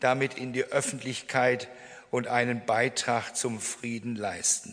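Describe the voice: The voice has a fairly bright tone and moves at a fairly slow pace. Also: man.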